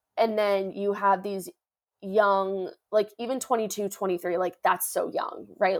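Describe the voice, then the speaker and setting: Intonation stays fairly even in an ordinary speaking voice. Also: woman. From Northern Virginia, US. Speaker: former college athlete, podcast host. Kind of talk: interview.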